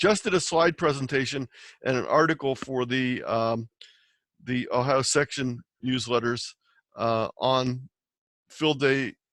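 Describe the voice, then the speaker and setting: A man speaks fairly slowly at a medium pitch, with long, frequent pauses and ordinary pitch variation. The sound is dry and close, without echo. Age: 60s. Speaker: amateur radio presenter. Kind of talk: presentation Q&A.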